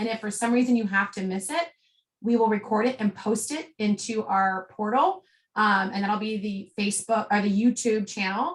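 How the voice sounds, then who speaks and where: This woman's voice is somewhat breathy and fairly high-pitched. Her pitch variation is ordinary. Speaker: network marketing team leader. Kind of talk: group business call. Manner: fast.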